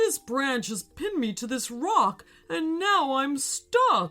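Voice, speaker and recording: A female-sounding put-on character voice from a woman, high-pitched and fairly slow, with very wide pitch swings and faint music in the background. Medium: read story.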